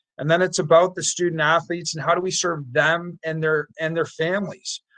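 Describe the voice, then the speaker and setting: A man's unremarkable speaking voice, fairly high-pitched, with fairly even intonation. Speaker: youth sports organization leader. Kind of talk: interview conversation.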